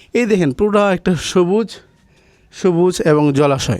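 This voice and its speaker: The man's voice has a dark, mellow tone. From Bangladesh, Gazipur. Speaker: real estate video host. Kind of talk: property tour sales pitch. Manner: animated.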